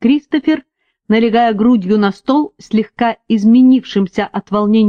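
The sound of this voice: Someone reads in an unforced reading voice over a quiet background.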